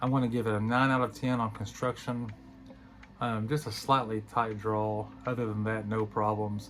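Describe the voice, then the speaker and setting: A man speaks at a moderate pace and a medium pitch, his intonation flat and monotone. Music plays in the background. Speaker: cigar reviewer. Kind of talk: product review monologue. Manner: halting with many fillers.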